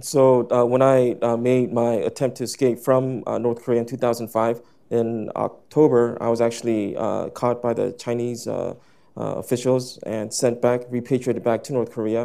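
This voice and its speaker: A man's dark, mellow voice at a moderate pace, monotone and flat, over a quiet background. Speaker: interpreter; panelist. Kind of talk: consecutive interpretation. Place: hall. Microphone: lapel.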